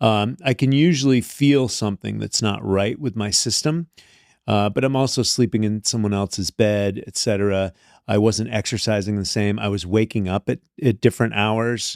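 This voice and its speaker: A man's fairly low voice with an American accent, a normal speaking voice at a moderate pace with ordinary pitch variation, on a very clean recording with a silent background and a dry, close sound with no echo. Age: 60s. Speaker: health and wellness coach. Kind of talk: podcast interview. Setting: studio.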